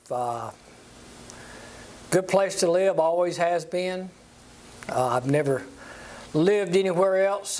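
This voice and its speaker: A man speaks with a South Carolina accent at a moderate pace. His pitch varies in an ordinary way. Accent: Southern US, South Carolina. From US South, upstate South Carolina (Walhalla). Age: 70s. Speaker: church lay leader. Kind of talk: interview. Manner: halting, many fillers.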